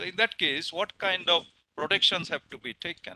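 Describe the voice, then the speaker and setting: The tone is bright and sharp. The sound is dry, with no echo. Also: man. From India. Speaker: professor, session chair; professor. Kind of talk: webinar talk. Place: home room. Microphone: headset.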